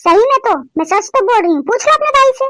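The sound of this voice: Using a cartoonish character voice, a woman squeaks at an extremely high pitch with very wide pitch swings and a very fast pace, in a dry, close sound with no echo.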